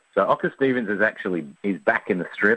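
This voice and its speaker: A man's bright, sharp tone at medium pitch with an Australian accent, fairly quick in pace, dry and close with no echo. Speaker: cartoonist. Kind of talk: radio interview.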